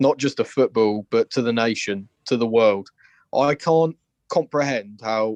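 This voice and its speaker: A man with a Liverpool accent, medium pitch, ordinary pitch variation and a passionate tone, in a dry, close sound with no echo against a quiet background. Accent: Scouse. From Liverpool, England. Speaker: football fan caller. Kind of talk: phone-in opinion.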